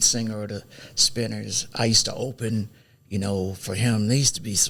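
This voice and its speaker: Speaking with an American accent, a man keeps to a moderate pace. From Miami, Florida. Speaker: singer and musician. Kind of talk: interview.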